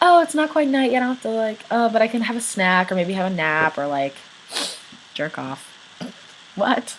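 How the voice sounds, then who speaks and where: A woman's pitch swings very widely, broken by long, frequent pauses. Noticeable background noise runs underneath. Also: moderate pace. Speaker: vlogger. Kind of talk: casual Q&A vlog. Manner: casual, filler-heavy.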